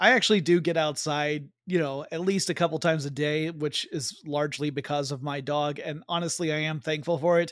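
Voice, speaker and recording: In a very clean recording with a silent background, a man with a plain, everyday voice talks at a fairly quick pace and a fairly high pitch, with fairly even intonation and hardly any pauses. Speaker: podcast host. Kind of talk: casual chat. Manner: joking, conversational.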